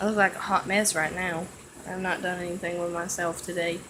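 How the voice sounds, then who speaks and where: Someone speaks with an East Tennessee accent over noticeable background noise. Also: woman. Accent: East Tennessee Southern US. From Tennessee (Bluff City, East Tennessee). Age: 20s. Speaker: vlogger. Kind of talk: casual vlog chat. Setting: at home. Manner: hesitant, many fillers.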